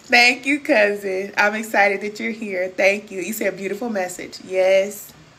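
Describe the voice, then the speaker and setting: A woman with an American accent speaks at a medium pitch and a fairly slow pace. Her loudness swings widely, and there is noticeable background noise. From Kansas City, Missouri. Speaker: spiritual coach. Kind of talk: livestream chat with viewers. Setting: live stream. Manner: animated.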